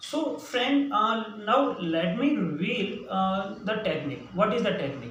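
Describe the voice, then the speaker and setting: An Indian accent amid noticeable background noise and audible room echo. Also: man. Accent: Indian English (Hindi). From central India. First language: Hindi. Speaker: English teacher. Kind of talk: tutorial. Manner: halting, many fillers.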